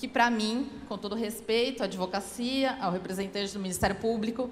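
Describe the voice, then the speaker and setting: A woman with a Paulista accent at a moderate pace. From São Paulo, Brazil. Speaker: public defender. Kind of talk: speech at a law event.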